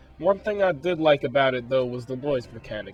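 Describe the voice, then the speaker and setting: With music in the background, a man speaks with very wide pitch swings. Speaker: game reviewer. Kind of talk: video game review voiceover.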